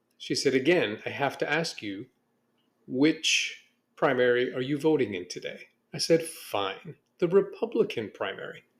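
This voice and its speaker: On a very clean recording with a silent background, a man with a fairly high pitch and vocal fry speaks at a moderate pace, his pitch swinging very widely. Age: 60s. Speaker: podcast host. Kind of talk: casual monologue podcast.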